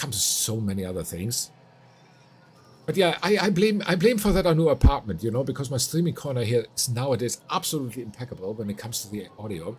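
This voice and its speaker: A man at a medium pitch talks at a fairly quick pace, somewhat breathy, with very wide pitch swings, big swings in loudness, and long, frequent pauses. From Finland. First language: Finnish. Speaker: streamer. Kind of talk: live gaming stream chat. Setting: home streaming corner.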